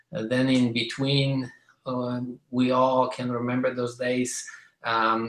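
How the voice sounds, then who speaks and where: At a fairly slow pace, a man with a Polish accent speaks in a monotone, flat way. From Poland. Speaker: business speaker. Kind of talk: testimony. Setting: conference call.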